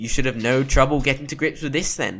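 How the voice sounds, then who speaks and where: Playful and sing-song, a man performs a put-on character voice. The recording is very clean, with a silent background. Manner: playful, sing-song, rhyming, cheeky.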